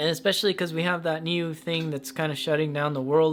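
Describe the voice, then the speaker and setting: Noticeable background noise surrounds a man as he speaks. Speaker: tarot reader. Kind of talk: tarot reading. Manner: casual, with stutters and fillers.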